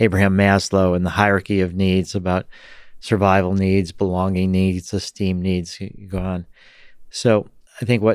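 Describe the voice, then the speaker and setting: Over a quiet background, a man speaks at a moderate pace in a very deep, low pitch with monotone, flat intonation. The sound is dry with no echo. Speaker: podcast guest. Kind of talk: interview answer. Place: studio. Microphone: studio mic.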